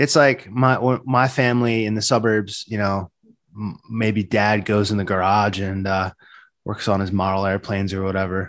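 A man with an American accent has an unremarkable speaking voice at a fairly low pitch. He talks at a moderate pace with fairly even intonation. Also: very clean recording, silent background. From New Jersey, Jersey Shore. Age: 30s. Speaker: writer and poet. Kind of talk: casual interview.

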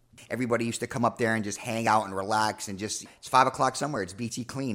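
A man talks at medium pitch and a very fast pace, with hardly any pauses. His intonation is fairly even, but his loudness swings widely. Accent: American. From New York. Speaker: former police officer, now in business. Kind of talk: casual chat. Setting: studio.

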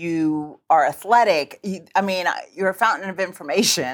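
A woman's animated voice with ordinary pitch variation, in a very clean recording with a silent background. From Cuban-American. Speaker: podcast co-host and producer. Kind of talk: casual chat. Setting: studio. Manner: animated, laughs often.

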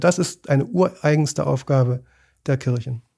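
On a very clean recording with a silent background, a man's dark, mellow, somewhat breathy voice has ordinary pitch variation. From East Germany. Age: 60s. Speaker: journalist and ship chaplain. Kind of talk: interview. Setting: studio.

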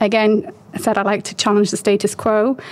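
A woman with a British accent speaks at a moderate pace in a fairly high voice, with noticeable background noise. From UK. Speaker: marketing consultant and business founder. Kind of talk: interview.

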